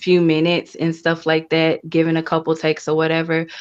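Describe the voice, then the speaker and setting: A soft-spoken woman talks with an American accent. Her pitch is fairly low, and the background is quiet. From US South, Memphis Tennessee. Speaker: voice actress and poet. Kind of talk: interview.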